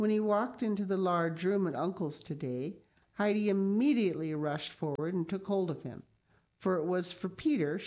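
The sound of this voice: The pitch shifts in an ordinary way as this unforced reading voice goes on.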